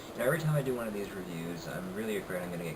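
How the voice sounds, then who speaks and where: The voice is quiet. Noticeable background noise runs underneath. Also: man. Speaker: wrestling reviewer. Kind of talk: casual talk to camera. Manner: quiet, low volume.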